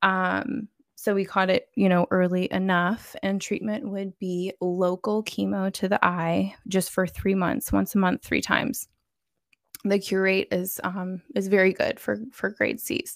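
With a plain, everyday voice, a woman of medium pitch speaks at a fairly slow pace and fairly even intonation, in a dry, close sound with no echo on a very clean recording with a silent background. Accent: American. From Florida. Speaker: nurse practitioner and mother. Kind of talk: testimony.

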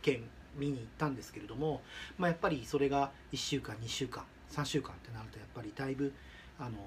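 A man speaks at a fairly quick pace in a somewhat breathy voice, leaving long, frequent pauses. His loudness swings widely while his pitch variation stays ordinary. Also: medium pitch for a man. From Shizuoka, Japan. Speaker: dog product business owner. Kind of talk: advice monologue. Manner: halting.

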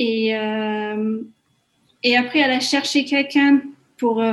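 A woman speaks at a high pitch in a flat, monotone delivery. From Hungary, Budapest. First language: Hungarian (speaking French). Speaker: community coordinator. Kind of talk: interview. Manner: hesitant, many fillers.

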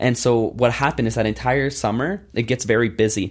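A man with a normal speaking voice, medium pitch, ordinary pitch variation and a fairly quick pace, in a very clean recording with a silent background. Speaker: entrepreneur. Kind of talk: interview.

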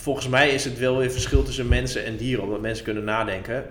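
Noticeable background noise sits beneath the audio. Over it, a man speaks fairly quickly. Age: 30s. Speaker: author and blogger. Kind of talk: casual chat.

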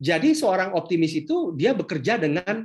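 A man is speaking. His intonation is lively. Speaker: entrepreneurship speaker. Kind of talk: online workshop talk. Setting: video call. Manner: animated.

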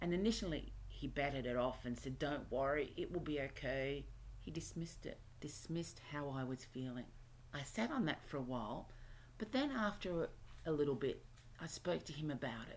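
At a moderate pace, a woman with an Australian accent speaks in a very deep, low pitch. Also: lively intonation. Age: 50s. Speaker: self-help podcast host. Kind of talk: solo self-help podcast monologue.

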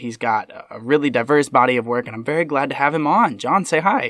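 Recorded dry and close with no echo, a man with an American accent talks at a fairly quick pace with ordinary pitch variation. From Ohio, US Midwest. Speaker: podcast host, actor and filmmaker. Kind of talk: casual interview.

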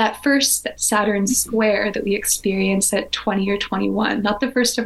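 Noticeable background noise sits under a woman who speaks at a fairly slow pace. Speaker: evolutionary astrologer. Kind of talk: masterclass-style lecture in a conversation. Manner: articulate, rich vocabulary.

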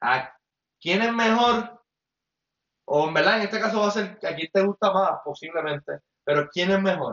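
Pausing long and often, a man with a Puerto Rican accent talks in a high pitch at a moderate pace. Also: ordinary pitch variation. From Puerto Rico, Mayagüez. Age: 20s. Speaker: former basketball player, podcast co-host. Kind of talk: casual chat. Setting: home apartment, livestream.

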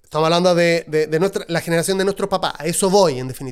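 With an animated tone, a man talks at a high pitch. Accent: Chilean. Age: 30s. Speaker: podcast host. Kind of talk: solo podcast monologue.

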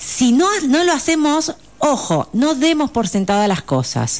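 Here a woman's pitch swings very widely. Her pace is fairly slow. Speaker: psychologist. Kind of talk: radio interview.

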